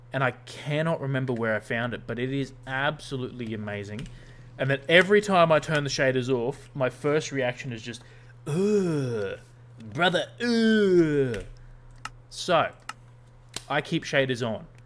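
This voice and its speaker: With a fairly high pitch and lively intonation, a man talks at a fairly slow pace, leaving long, frequent pauses. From Australia. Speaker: gaming streamer. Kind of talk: casual gameplay livestream chat. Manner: casual, hesitant with fillers.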